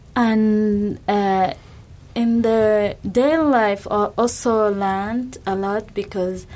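A woman is speaking at a fairly high pitch. Her intonation remains fairly even. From Rwanda. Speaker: graduate student. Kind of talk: radio interview.

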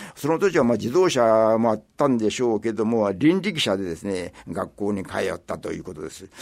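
Swinging very widely in pitch and greatly in loudness, a man speaks at a fairly quick pace. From Japan, Kobe Suma area. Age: 80s+. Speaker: local elder storyteller. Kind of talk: radio interview reminiscence. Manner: halting with many fillers.

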